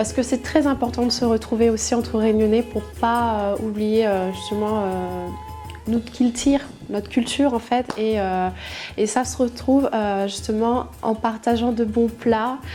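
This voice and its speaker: Music plays behind a woman speaking. Her fairly high voice stays monotone, with flat intonation. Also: fairly slow pace. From Réunion. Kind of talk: interview answer. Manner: hesitant, many fillers.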